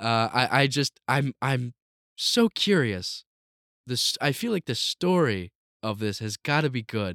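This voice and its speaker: A man speaks at a medium pitch and a fairly slow pace with lively intonation, his voice dry and close with no echo on a very clean recording over a silent background. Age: young. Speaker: podcast co-host. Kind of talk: casual chat. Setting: home basement. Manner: animated.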